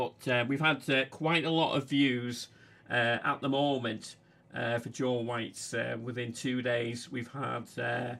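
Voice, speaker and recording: A man speaks in a bright, sharp tone at a fairly slow pace. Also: medium pitch for a man. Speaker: fairground video channel host. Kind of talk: live stream casual talk. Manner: halting, many fillers.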